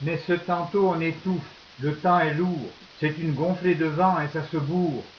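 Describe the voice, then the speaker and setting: The delivery is fairly slow. The intonation stays monotone and flat. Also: man, high pitch for a man. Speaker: slam poet. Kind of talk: poetry reading.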